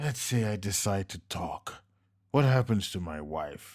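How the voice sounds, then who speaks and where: This is a put-on character voice with lively intonation. It moves at a fairly slow pace. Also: man, fairly low pitch for a man. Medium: read story.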